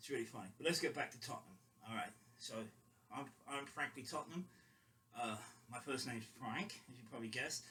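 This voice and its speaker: Speaking very fast with long, frequent pauses, a man with a London accent has a medium pitch, ordinary pitch variation, and a bright, sharp tone. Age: 50s. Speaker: football fan vlogger. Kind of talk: casual monologue. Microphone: quiet, temporary mic.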